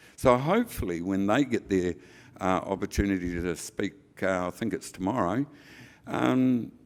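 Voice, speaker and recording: In a very clean recording with a silent background, a man with a New Zealand accent speaks at a fairly low pitch and a moderate pace, with lively intonation. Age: 70s. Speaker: hemp industry association chair. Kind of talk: conference speech. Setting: stage with audience.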